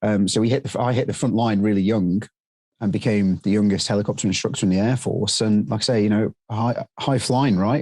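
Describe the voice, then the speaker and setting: A man's dark, mellow voice, fairly low in pitch, with fairly even intonation and a fairly quick pace against a quiet background. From UK. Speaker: drone training business owner. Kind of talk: interview. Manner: halting, many fillers.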